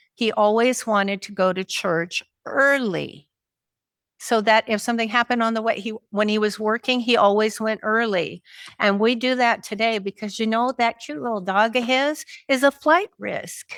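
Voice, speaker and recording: A woman with a plain, everyday voice speaks at a moderate pace, her fairly high pitch showing ordinary variation. The recording is very clean with a silent background and a dry, close sound with no echo. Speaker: marriage and family therapist, caregiver. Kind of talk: conference talk.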